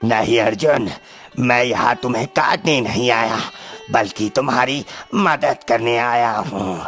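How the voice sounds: Over faint background music, a man puts on a cartoonish character voice at a medium pitch and a fairly slow pace.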